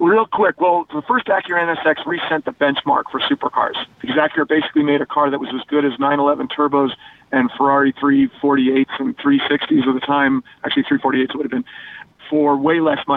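An unremarkable speaking voice: a man with an American accent and a fairly high pitch. He talks at a fairly quick pace with ordinary pitch variation. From Denver area, Colorado. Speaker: automotive journalist. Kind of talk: casual radio chat.

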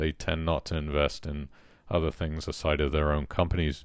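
A man with a British accent speaks fairly quickly in a very deep, low pitch with flat, monotone intonation. The recording is very clean, with a silent background. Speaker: podcast host. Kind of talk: interview.

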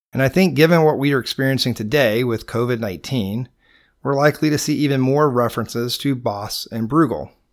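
A man with a Georgia accent speaks at a fairly quick pace, medium in pitch with ordinary pitch variation. The recording is very clean, with a silent background. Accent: Southern US, Georgia. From US South, Georgia. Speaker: podcast host and painter. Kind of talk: scripted podcast narration, educational. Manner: informal, conversational.

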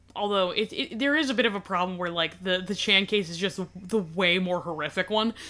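A woman speaks in a plain, everyday voice. Her pace is fairly quick. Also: medium pitch for a woman, ordinary pitch variation. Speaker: podcast host. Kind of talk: casual podcast chat, true crime storytelling.

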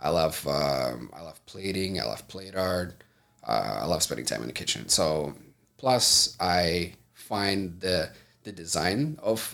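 With vocal fry and big swings in loudness, a man speaks at a fairly slow pace in a very deep, low pitch. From Moldova. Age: 30s. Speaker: entrepreneur. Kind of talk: casual interview.

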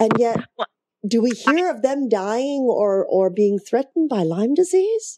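Speaking at a fairly slow pace, a woman uses high pitch with very wide pitch swings. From Canada. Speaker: co-host. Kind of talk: casual talk show. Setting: video show with call-in.

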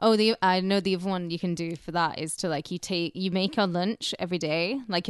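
Speaking very fast, a woman with a British accent has a fairly low pitch. The sound is dry and close with no echo, and the background is quiet. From Britain. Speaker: podcast co-host. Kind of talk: casual comedy banter.

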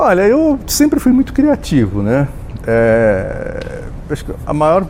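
A man speaks over noticeable background noise. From Brazil, interior of São Paulo state (Jaú). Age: 60s. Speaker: journalist. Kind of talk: interview. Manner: hesitant, many fillers.

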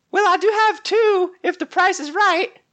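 In a put-on character voice, a man sounds squeaky at an extremely high pitch, keeping a moderate pace. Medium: actual play. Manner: coy, haggling.

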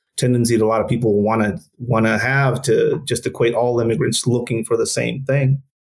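A man speaks at a fairly quick pace in a medium pitch, somewhat breathy. His intonation is fairly even and his loudness very even. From northern Mexico border region. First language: Spanish. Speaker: former counter-narcotics police officer. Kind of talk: interview. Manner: halting, many fillers.

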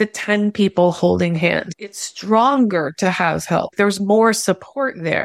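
Fairly slow, an unremarkable speaking voice from a woman at medium pitch, ordinary pitch variation, a dry, close sound with no echo and a very clean recording over a silent background. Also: hardly any pauses. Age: 50s. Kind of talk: casual chat.

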